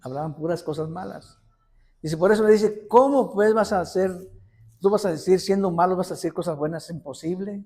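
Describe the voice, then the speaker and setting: A man speaks at a fairly quick pace in a high voice with a dark, mellow tone and ordinary pitch variation. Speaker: lay preacher. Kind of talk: sermon. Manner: animated; halting.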